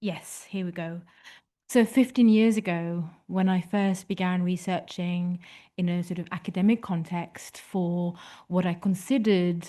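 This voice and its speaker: A woman speaks at a fairly slow pace with long, frequent pauses. Her tone is dark and mellow, and her intonation fairly even. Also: quiet background. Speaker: photography historian speaker. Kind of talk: lecture read from a prepared text.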